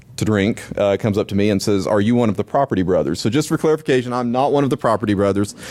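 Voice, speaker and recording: Very fast talk from a man in an American accent, with ordinary pitch variation. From Nashville, US South. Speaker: conference speaker, security professional. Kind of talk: conference talk. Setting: stage with audience. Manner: many fillers, um and uh.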